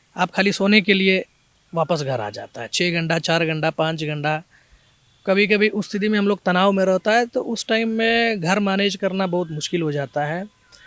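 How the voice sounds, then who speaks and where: With a Malayali accent, a man speaks at a high pitch with ordinary pitch variation, in a dry, close sound with no echo. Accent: Malayali-accented Hindi. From Kerala, India. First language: Malayalam (speaking Hindi). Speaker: police officer. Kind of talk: interview. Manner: halting, with fillers.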